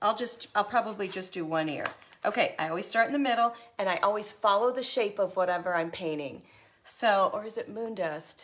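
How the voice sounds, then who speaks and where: An ordinary speaking voice moves at a moderate pace, its pitch varying in an ordinary way. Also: woman. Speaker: craft tutorial host. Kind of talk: tutorial.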